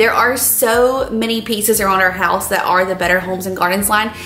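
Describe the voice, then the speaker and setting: A woman's voice at a fairly quick pace with ordinary pitch variation, faint music behind it, and audible room echo. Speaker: lifestyle vlogger. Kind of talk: casual vlog chat, sponsored product review. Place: kitchen.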